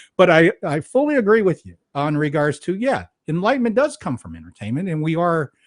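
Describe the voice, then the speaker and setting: Pitch swings very widely at a fairly quick pace. The sound is dry and close, with no echo. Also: man, high pitch for a man. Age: 60s. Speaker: podcast host. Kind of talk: interview conversation.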